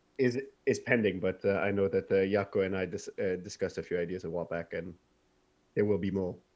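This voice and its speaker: A man talks very fast in a fairly low pitch, his intonation fairly even. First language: not English. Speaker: film writer-director. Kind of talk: casual interview. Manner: halting, many fillers and restarts.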